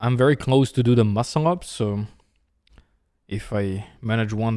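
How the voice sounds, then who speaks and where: With a Serbian accent, a man at fairly low pitch speaks in a dark, mellow tone and lively intonation on a very clean recording with a silent background. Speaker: chess streamer and commentator. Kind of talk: live chess commentary. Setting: studio. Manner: casual, conversational.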